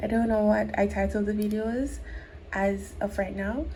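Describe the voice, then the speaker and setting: A somewhat breathy woman's voice with audible room echo. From Jamaica. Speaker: crochet tutorial creator. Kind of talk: tutorial. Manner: slow, step-by-step.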